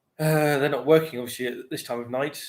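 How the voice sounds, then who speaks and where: A man with a British accent talks at a fairly quick pace in a monotone, flat intonation. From UK. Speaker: pipe smoking livestreamer, bar and restaurant worker. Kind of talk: casual livestream chat. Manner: rambling, hesitant with fillers. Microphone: laptop, unstable internet with lag.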